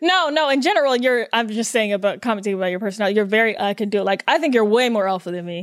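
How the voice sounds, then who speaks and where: A woman talks at a very fast pace with hardly any pauses. Her intonation is lively and her pitch fairly high. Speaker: podcast host. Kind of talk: casual chat. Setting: studio.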